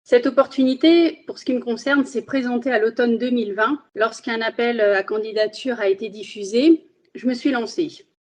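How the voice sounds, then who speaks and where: This woman has a high voice. She talks at a moderate speed. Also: ordinary pitch variation. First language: Spanish (speaking French). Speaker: magistrate. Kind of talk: interview.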